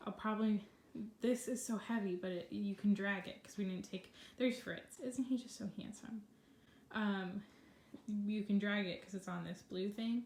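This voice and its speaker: A woman speaks at medium pitch with a somewhat breathy voice. Her intonation is fairly even, and she takes long, frequent pauses. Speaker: vlogger. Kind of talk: casual vlog. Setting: at home in bedroom. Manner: fast.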